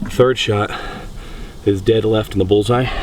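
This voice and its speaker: Against noticeable background noise, a man with a fairly low pitch speaks at a moderate pace in a monotone, flat delivery. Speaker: hunter. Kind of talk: outdoor vlog commentary. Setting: outdoors. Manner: loud.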